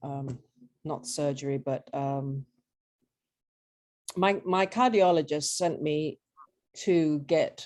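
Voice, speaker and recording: In an English accent, a woman talks very slowly in a very deep, low voice with ordinary pitch variation over a quiet background. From southern England, Brighton. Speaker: patient, former squash coach. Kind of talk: interview. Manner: halting.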